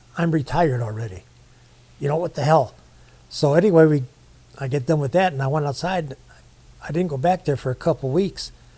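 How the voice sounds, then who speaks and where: A man's fairly high, somewhat breathy voice, dark and mellow in tone, at a fairly quick pace broken by long, frequent pauses. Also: ordinary pitch variation. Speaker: war veteran. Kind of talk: casual chat. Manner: colloquial storytelling.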